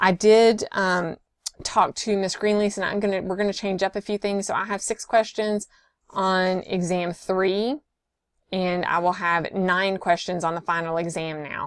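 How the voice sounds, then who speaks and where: In an ordinary speaking voice, a woman of medium pitch talks at a fairly slow pace with fairly even intonation. The recording is very clean, with a silent background and a dry, close sound with no echo. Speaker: nursing instructor. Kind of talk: lecture.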